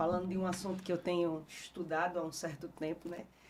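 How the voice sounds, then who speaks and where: Against noticeable background noise, a woman speaks at a fairly quick pace in a fairly low, monotone, flat voice. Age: 40s. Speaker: history teacher. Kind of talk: podcast interview. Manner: halting.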